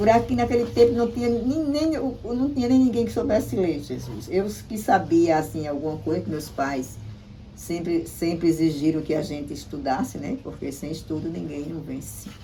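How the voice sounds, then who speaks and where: A woman speaks in a fairly low pitch, with very wide pitch swings and big swings in loudness. Noticeable background noise and audible room echo fill the recording. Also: moderate pace. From Brazil, Paraíba, Potiguara village. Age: 70s. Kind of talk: interview. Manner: halting, with many repetitions.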